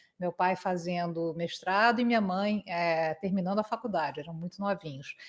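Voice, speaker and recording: At a moderate pace, a woman with a Carioca accent speaks at medium pitch with ordinary pitch variation in a very clean recording with a silent background. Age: 50s. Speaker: conference interpreter. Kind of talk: interview.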